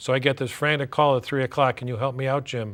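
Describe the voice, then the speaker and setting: At a fairly quick pace, a man with an American accent and a normal speaking voice talks at medium pitch with fairly even intonation. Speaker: stadium public address announcer, attorney. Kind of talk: interview answer.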